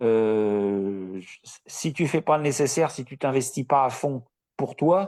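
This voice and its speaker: A man's medium-pitched voice at a very slow pace, with lively intonation and big swings in loudness over a quiet background. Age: 60s. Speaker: coaching client, retiree. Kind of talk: live interview.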